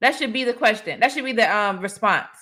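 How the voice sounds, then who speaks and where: A woman's raised, projected voice with an animated tone at a moderate pace, on a very clean recording with a silent background. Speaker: relationship advice livestreamer. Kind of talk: livestream commentary. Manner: loud.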